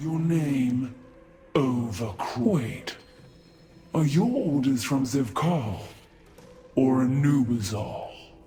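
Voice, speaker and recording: A man's put-on character voice at medium pitch, very slow, with long, frequent pauses and audible echo. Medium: video game. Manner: gruff, curt.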